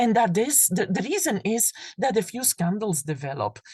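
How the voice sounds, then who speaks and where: A woman in a Flemish Belgian accent has a dark, mellow tone with vocal fry, speaking at a moderate pace with very wide pitch swings. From Belgium (Flanders). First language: Flemish (Dutch). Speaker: professor. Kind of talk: lecture. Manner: halting, with fillers and repetitions.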